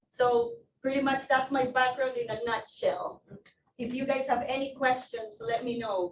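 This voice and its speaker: A woman with a Spanish accent talks at a moderate pace in a high pitch. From Ecuador. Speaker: loan officer. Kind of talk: self-introduction at office meeting. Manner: casual, animated.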